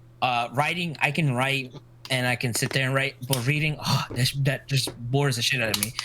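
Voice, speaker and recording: A man speaks with fairly even intonation. Noticeable background noise runs beneath him. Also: medium pitch for a man, moderate pace. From US, Mexican family. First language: Spanish. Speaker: streamer. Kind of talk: casual chat.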